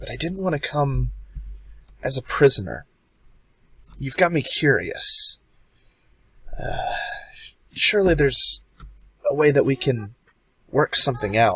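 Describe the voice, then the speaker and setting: Using a put-on character voice, the speaker leaves long, frequent pauses. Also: man, fairly high pitch for a man, moderate pace. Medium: actual play.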